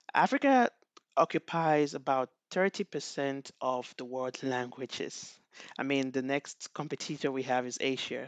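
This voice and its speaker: Against a quiet background, a man with a Nigerian accent and a fairly high pitch speaks at a moderate pace with ordinary pitch variation, the sound dry and close with no echo. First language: Igbo. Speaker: NLP researcher. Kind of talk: conference talk. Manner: halting, with many fillers.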